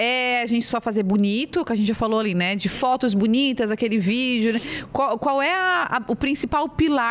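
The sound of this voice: The woman's voice sits high in pitch with lively intonation. She talks at a moderate pace.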